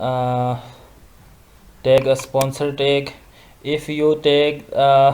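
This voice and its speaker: A man with a non-native accent and a fairly high pitch. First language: not English. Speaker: social media tutorial youtuber. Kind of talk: screen-recorded tutorial. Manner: halting, many fillers and restarts.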